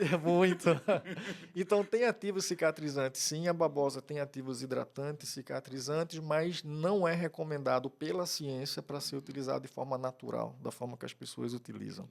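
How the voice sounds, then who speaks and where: Spoken at a moderate pace with ordinary pitch variation, the voice carries a strong Pernambuco accent. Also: man, fairly high pitch for a man. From Pernambuco, Brazil (Cabo de Santo Agostinho, rural). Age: 50s. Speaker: trichologist. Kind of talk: podcast interview.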